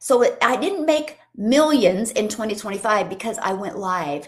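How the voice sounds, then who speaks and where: Speaking at a fairly slow pace, a woman uses lively intonation and an animated tone, her voice somewhat breathy. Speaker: online business coach. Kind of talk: live stream training. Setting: livestream on TikTok and YouTube.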